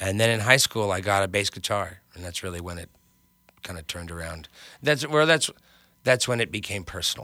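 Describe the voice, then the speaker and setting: With an American accent, a man with fairly low pitch and a bright, sharp tone speaks at a fairly quick pace with lively intonation, big swings in loudness, and long, frequent pauses, in a very clean recording with a silent background. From New York, Westchester suburbs. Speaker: singer-songwriter and bass player. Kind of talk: interview.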